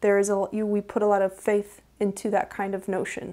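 Her tone is dark and mellow, the voice clearly a woman's. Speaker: tarot reader. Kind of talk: tarot reading video. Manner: slow. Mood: calm, reflective. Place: home room.

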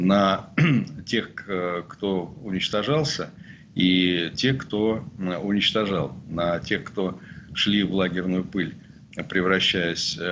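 The man speaks at a very slow pace with ordinary pitch variation. Light background noise is present. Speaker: journalist and sociologist. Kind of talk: interview, expert commentary. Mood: serious, critical. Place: home room. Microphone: webcam.

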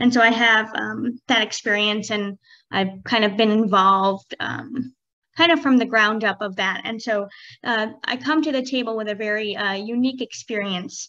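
Woman's fairly high voice, bright and sharp, with ordinary pitch variation, a moderate pace and a quiet background. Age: 30s. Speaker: professor. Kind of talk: panel presentation. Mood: warm, enthusiastic. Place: home room.

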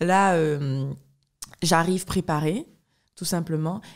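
Over a quiet background, a woman speaks with a fairly low pitch and ordinary pitch variation. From Guadeloupe. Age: 20s. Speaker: professional fencer; podcast guest. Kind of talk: interview. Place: home room. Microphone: studio mic.

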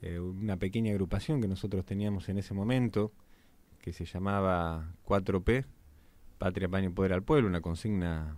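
Dry sound with no echo carries a man's dark, mellow tone. His pitch is fairly low and his pace moderate. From Argentina. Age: 30s. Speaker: municipal politician. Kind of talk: radio interview. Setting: radio studio. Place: studio. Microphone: studio mic.

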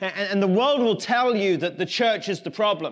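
A man with an English accent talks at a fairly quick pace over a quiet background. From England. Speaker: pastor. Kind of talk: sermon. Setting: church. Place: church.

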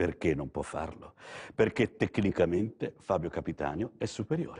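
Against a quiet background, a man with a dark, mellow tone speaks with very wide pitch swings. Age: 60s. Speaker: TV art dealer host; TV art salesman. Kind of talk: live TV art sales show. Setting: TV studio gallery. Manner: soothing, soporific; halting, repetitive. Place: studio. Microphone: lapel.

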